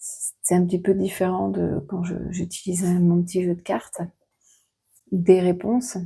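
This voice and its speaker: A soft-spoken woman's voice, somewhat breathy, at a medium pitch. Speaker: oracle card reader. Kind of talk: card reading guidance. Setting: room at a fasting retreat.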